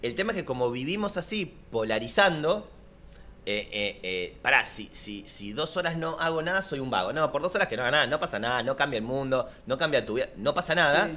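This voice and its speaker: A man speaks at a fairly quick pace in a bright, sharp tone, his pitch swinging very widely. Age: 40s. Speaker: life coach; guest coach. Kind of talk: casual chat. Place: studio. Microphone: studio mic.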